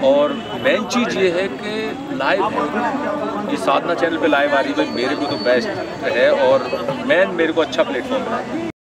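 Over loud background noise, the speech moves at a fairly slow pace with long, frequent pauses. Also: man. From Bulandshahr, Uttar Pradesh, India. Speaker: theatre actor. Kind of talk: interview answer. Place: open country.

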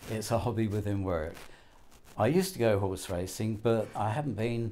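A dark, mellow tone at a moderate pace, with light background noise. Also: man, fairly low pitch for a man, ordinary pitch variation. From England. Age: 80s+. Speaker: betting shop worker. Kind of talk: interview. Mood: cheerful, storytelling. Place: shop. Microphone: lapel.

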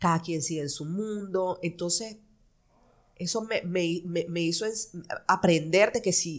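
With a Nicaraguan accent, a woman speaks at a fairly low pitch and a fairly slow pace. Her intonation is fairly even over a quiet background. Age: 30s. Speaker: fashion designer; podcast guest. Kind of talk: interview. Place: studio. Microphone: studio mic.

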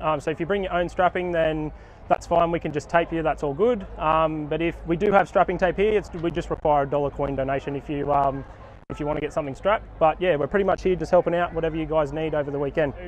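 Against light background noise, a man speaks very fast with fairly even intonation in a dry sound with no echo. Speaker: sports trainer at an event. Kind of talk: interview answer. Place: open country. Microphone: phone near.

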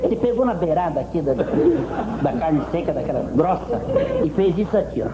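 Noticeable background noise underlies talking at a moderate pace. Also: man. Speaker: comedian and storyteller. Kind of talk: comic storytelling. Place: studio.

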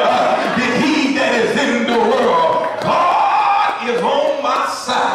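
A man's voice carries strong room echo against noticeable background noise. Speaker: preacher. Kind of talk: sermon. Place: church.

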